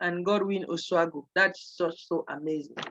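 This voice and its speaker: The sound is dry and close with no echo as a woman speaks. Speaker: pastor presenting a financial business opportunity. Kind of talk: seminar sales pitch. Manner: fast.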